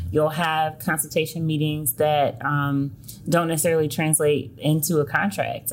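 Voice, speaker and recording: A woman's very deep, low, somewhat breathy voice with an American accent. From US South, Selma, Alabama. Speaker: education consultant. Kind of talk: interview.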